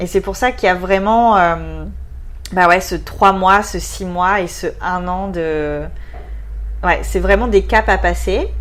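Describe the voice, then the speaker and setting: The speech moves at a very slow pace with long, frequent pauses and audible room echo. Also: woman. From southwest France. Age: 20s. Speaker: expatriate interviewee. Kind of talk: casual interview.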